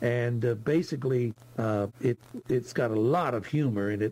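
The voice is somewhat breathy, with an American accent and ordinary pitch variation. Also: man. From Texas. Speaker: listener caller. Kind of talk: casual book review. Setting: Zoom call. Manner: halting.

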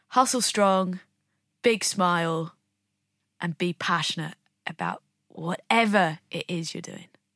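A woman with a southern English accent and fairly low pitch speaks at a fairly slow pace, leaving long, frequent pauses. Her loudness swings widely while pitch variation stays ordinary, and the very clean recording is dry, close and echo-free over a silent background. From England, Bromley (south-east London). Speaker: Olympic snowboarder. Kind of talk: interview.

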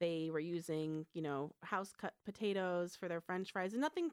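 A woman speaks at a moderate pace and a medium pitch, in an ordinary speaking voice. The recording is very clean with a silent background and a dry, close sound with no echo. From Michigan. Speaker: food truck and restaurant owner. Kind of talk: radio interview.

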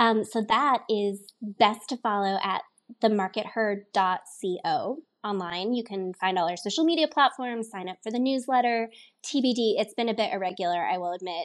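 A woman with a General American accent, a plain, everyday voice, a fairly high pitch and lively intonation, at a moderate pace against a quiet background. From Colorado. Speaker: marketing professional, former musical theater performer. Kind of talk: interview.

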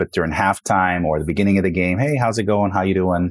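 A man talks at a very fast pace in a very deep, low pitch with fairly even intonation. The recording is very clean, with a silent background. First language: Spanish. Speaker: career center director and coach. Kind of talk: casual interview conversation.

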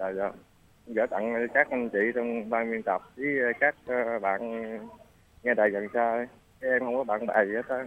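Speaking at a fairly slow pace, a man with a medium pitch leaves long, frequent pauses. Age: 40s. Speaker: caller. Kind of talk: casual chat. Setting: phone call.

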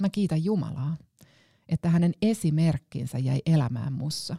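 Speaking very slowly, a woman with a very deep, low pitch and a dark, mellow, somewhat breathy tone uses lively intonation in a dry, close recording with no echo. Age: 40s. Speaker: pastor. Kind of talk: scripted narration. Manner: reflective.

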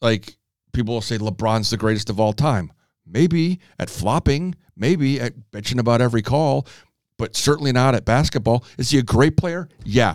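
With an American accent, a man in an unremarkable speaking voice talks at medium pitch with lively intonation, the sound dry and close with no echo. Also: moderate pace. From Chicago. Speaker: podcast host. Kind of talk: casual chat.

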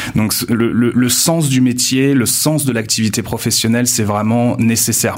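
Very even in loudness, a man with a normal speaking voice talks at a fairly slow pace with fairly even intonation. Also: medium pitch for a man, hardly any pauses. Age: 20s. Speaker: university staff member. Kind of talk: interview.

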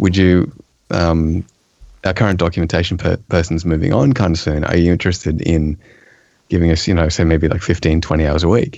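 A man with an Australian accent talks at a fairly quick pace in a very deep, low voice. His intonation stays fairly even and his loudness very even. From eastern Australia. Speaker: software developer and technical writer. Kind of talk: casual chat.

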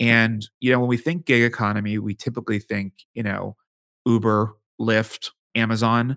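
On a very clean recording with a silent background and a dry, close sound with no echo, a man with an American accent and a plain, everyday voice speaks at medium pitch and a moderate pace. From Pittsburgh, Pennsylvania. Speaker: demographic futurist and author. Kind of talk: interview.

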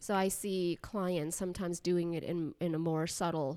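In a very clean recording with a silent background, a woman with a fairly low pitch and ordinary pitch variation speaks in an ordinary speaking voice. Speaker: psychologist. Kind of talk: casual chat.

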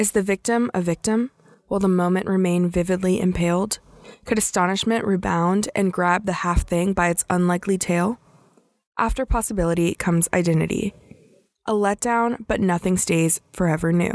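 A normal speaking voice at a moderate pace, with fairly even intonation, very even loudness, and a dry, close sound with no echo. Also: woman, medium pitch for a woman. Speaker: podcast host and poetry reader. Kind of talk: scripted intro and poetry reading.

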